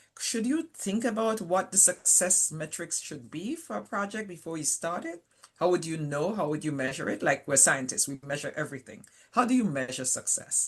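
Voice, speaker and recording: A woman speaks with a Caribbean accent. Her intonation is lively and her pace moderate. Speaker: panel moderator, scientist. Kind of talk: webinar panel discussion.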